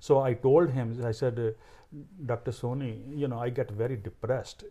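At a medium pitch, a man speaks in a dark, mellow tone that is somewhat breathy. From India, Punjab. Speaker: cancer researcher. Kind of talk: interview.

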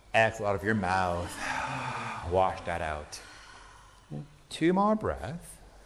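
A man at a fairly slow pace with very wide pitch swings over noticeable background noise. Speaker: yoga instructor. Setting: class with participants present. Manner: calm, soothing imperative cues, short commands paced to the breath; gentle and encouraging, spiritual asides woven into instructions.

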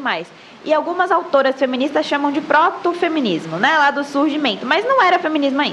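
Noticeable background noise behind a woman's voice at a moderate speed. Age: 20s. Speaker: Instagram content creator. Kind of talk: casual podcast interview. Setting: live-streamed podcast.

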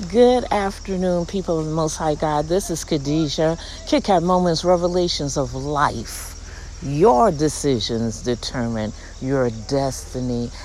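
This woman has a very deep, low pitch and an animated tone, with lively intonation at a fairly slow pace. Noticeable background noise and audible room echo fill the recording. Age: 60s. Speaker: podcast host, inspirational speaker. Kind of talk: inspirational monologue, casual religious devotional.

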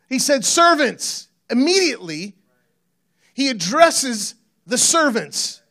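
A man speaks in a raised, projected voice with an extremely high pitch and a bright, sharp tone. The recording is very clean, with a silent background. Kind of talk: sermon. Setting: church stage with audience. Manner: casual, jokey, conversational.

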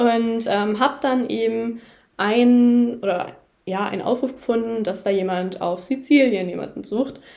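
A woman speaks at a fairly slow pace and fairly high pitch with ordinary pitch variation. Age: young. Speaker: horse photographer. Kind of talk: casual chat. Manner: hesitant, many filler sounds.

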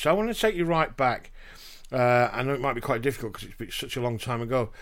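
Very fast speech in a Yorkshire accent, with ordinary pitch variation and big swings in loudness, on a very clean recording with a silent background. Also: man. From Yorkshire, England. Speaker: podcast host, spouse and carer. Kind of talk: casual conversation.

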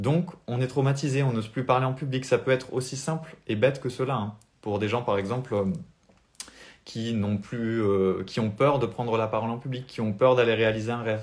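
Somewhat breathy, a man speaks at a moderate pace. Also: medium pitch for a man, ordinary pitch variation. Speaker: spiritual coach. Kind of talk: live stream talk. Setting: live video stream.

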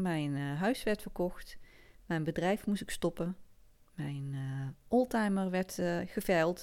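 A woman's fairly low voice with a Limburg accent, ordinary pitch variation, a very slow pace and long, frequent pauses, on a very clean recording with a silent background. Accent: Limburg Dutch, soft G. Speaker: podcast host. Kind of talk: personal story monologue. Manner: hesitant, many fillers.

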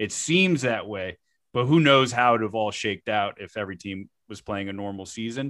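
Using a normal speaking voice, a man talks with an American accent at a moderate pace with ordinary pitch variation. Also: fairly low pitch for a man. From South Florida. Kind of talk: casual chat. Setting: video call.

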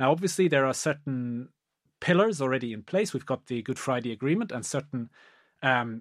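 A man talks at a fairly quick pace with ordinary pitch variation. The recording is very clean, with a silent background. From Germany. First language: German. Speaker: law professor. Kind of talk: academic discussion. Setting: podcast recording. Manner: halting, many repetitions.

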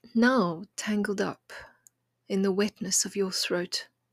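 In a very clean recording with a silent background, a woman speaks very slowly in a warm, soothing, somewhat breathy tone with fairly even intonation, the sound dry and close with no echo. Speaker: poet and podcast host. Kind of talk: poetry reading, intimate and contemplative; gentle encouraging talk. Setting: home kitchen table. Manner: slow, hushed, tender and lyrical; warm, soothing, measured.

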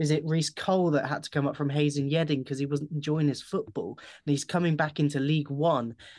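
A man uses a normal speaking voice, fairly high in pitch. He talks at a fairly quick pace with hardly any pauses. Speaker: football fan, former club media assistant. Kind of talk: casual interview.

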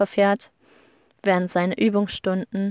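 Captured on a very clean recording with a silent background and a dry, close sound with no echo, a woman speaks with fairly even intonation. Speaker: podcaster. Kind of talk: casual monologue. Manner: hesitant with many fillers.

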